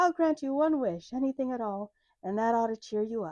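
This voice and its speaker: In a put-on character voice, a woman speaks at a high pitch and a fairly quick pace. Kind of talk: put-on fairy godmother voice. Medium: read story. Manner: falsely sweet, ingratiating.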